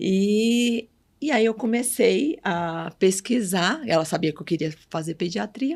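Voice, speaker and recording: Delivered at a very slow pace, this very clean recording has a silent background. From Bahia, Brazilian Northeast. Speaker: pediatric neurologist. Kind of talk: podcast interview.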